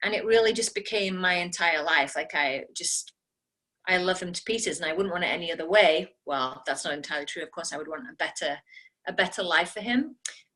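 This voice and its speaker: Bright and sharp in tone, a woman at medium pitch talks fairly quickly with lively intonation and big swings in loudness. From England, Nottingham. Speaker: network marketing team leader. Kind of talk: personal story on team call. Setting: video call.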